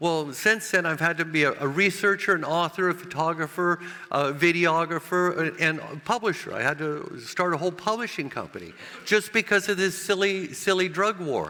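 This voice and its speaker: Speaking at a moderate pace with an American accent, a man uses a high pitch with ordinary pitch variation. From United States. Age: 70s. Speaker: cannabis grower and author. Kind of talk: conference presentation. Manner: halting, many repetitions and fillers.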